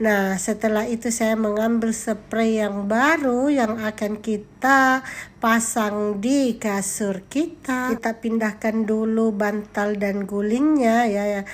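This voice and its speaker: A woman speaks at a fairly high pitch and a very slow pace, with fairly even intonation. She leaves hardly any pauses. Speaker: vlogger, teacher and housewife. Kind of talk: vlog narration. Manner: casual, chatty.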